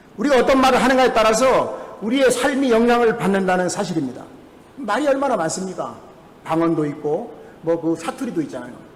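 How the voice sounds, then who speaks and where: Over noticeable background noise and audible room echo, a man speaks at a fairly quick pace with an extremely high pitch and lively intonation. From Jeju, South Korea. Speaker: pastor. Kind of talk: sermon. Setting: church.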